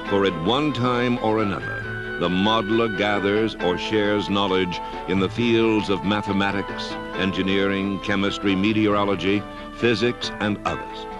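Music plays in the background. The intonation is fairly even and the loudness very even. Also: man, fairly low pitch for a man. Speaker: narrator. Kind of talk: documentary narration. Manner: slow, measured.

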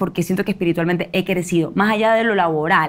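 This is a woman's voice. Her pitch varies in an ordinary way. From Ecuador. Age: 20s. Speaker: actress; actress guest. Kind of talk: interview. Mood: reflective, animated. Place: studio.

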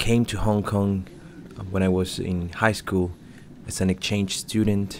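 A man speaks with a very deep, low pitch and a Spanish accent. His intonation is monotone and flat. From Chile. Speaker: livestream commentator and interpreter. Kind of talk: live stream commentary with chat Q&A. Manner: halting, repeats words.

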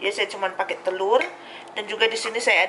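A woman speaks at a medium pitch with a bright, sharp tone. Faint background noise can be heard.

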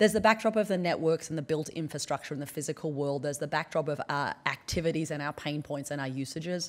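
A woman with an American accent talks at a very fast pace, with hardly any pauses. Her pitch is very deep and low, with ordinary pitch variation. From Australia (central and northern). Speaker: anthropologist and professor; professor. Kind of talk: conference keynote. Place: hall. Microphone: podium.

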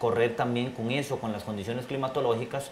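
Audible room echo surrounds the voice, with light background noise underneath. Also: man. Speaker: race broadcaster. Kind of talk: interview answer. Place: studio.

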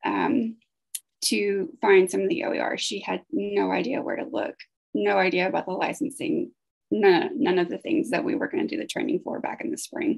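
A woman speaks at a moderate pace in a high voice, her pitch swinging very widely. The background is quiet. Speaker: grant project staff; presenter. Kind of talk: conference presentation. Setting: video call. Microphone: webcam.

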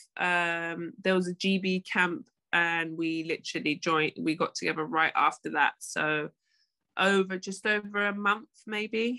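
Speaking at a fairly slow pace with a London accent, a woman has a medium pitch, a bright, sharp tone and ordinary pitch variation over a quiet background. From London, England. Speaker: professional basketball player. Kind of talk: podcast interview. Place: home room. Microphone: video call.

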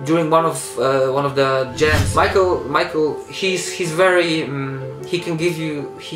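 A man speaks at a fairly slow pace with ordinary pitch variation. Clear music plays in the background. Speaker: interviewee. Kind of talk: interview answer. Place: home room.

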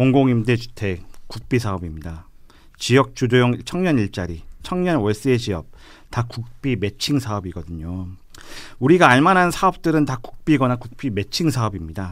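Over a quiet background, a man at medium pitch speaks with very wide pitch swings. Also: moderate pace. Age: young. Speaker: young politician, local election candidate; young politician, election candidate. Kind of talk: radio panel discussion. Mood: earnest, policy-focused. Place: studio. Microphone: studio mic.

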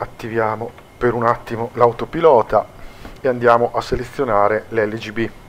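Noticeable background noise sits behind a man with a medium-pitched voice. He speaks at a moderate pace in a monotone, flat intonation, with long, frequent pauses. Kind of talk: gameplay tutorial commentary. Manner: casual, many hesitations.

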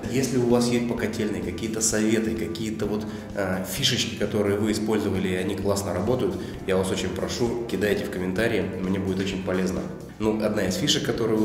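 A man with a fairly low pitch talks at a fairly quick pace. The room echoes audibly, and faint music plays in the background. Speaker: self-builder vlogger. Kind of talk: casual vlog chat. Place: empty room. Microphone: phone near.

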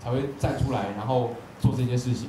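A man with a Taiwanese accent talks at a fairly quick pace amid light background noise and audible room echo. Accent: Taiwanese Mandarin. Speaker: event moderator. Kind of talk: panel moderation. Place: hall.

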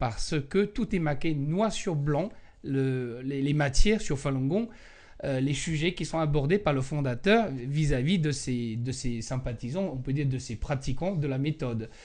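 Over a quiet background, a man talks at a fairly slow pace with lively intonation. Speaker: Falun Gong practitioner and spokesperson; spokesperson. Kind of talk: interview. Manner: halting, many hesitations. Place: home room. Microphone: handheld.

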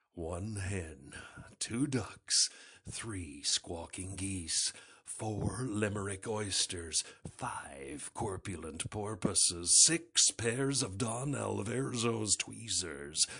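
Using a put-on character voice, a man speaks at a very slow pace. His pitch sits fairly low. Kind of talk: movie trailer. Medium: voice reel.

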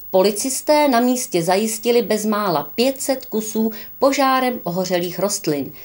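Medium in pitch, a woman talks with a normal speaking voice. She goes at a fairly slow pace with lively intonation. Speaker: news anchor. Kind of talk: news reading. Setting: studio. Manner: formal.

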